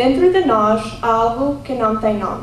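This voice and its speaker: A woman's fairly high voice with an American accent, at a moderate pace with ordinary pitch variation, over noticeable background noise and audible room echo. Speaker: pageant contestant. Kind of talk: prepared speech.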